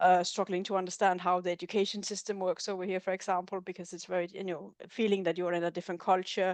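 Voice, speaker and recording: A woman with a Danish accent talks at a very fast pace with hardly any pauses, her medium pitch held in a monotone, flat intonation. The background is quiet. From Denmark. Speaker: researcher. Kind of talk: webinar discussion.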